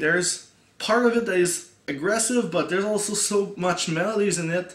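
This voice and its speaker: Amid noticeable background noise and audible room echo, a man speaks at a high pitch. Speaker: music reviewer, YouTuber. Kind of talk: casual video review. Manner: halting, many fillers and repeats.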